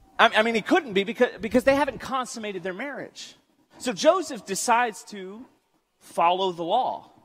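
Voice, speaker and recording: A man talks at a moderate pace, his loudness swinging widely. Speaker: preacher. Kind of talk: sermon. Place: church.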